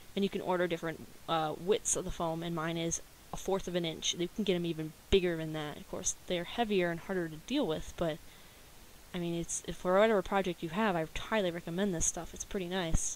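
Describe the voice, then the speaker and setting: Fairly low in pitch, a woman speaks at a fairly quick pace with fairly even intonation. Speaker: cosplay vlogger. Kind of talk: casual video blog. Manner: fast.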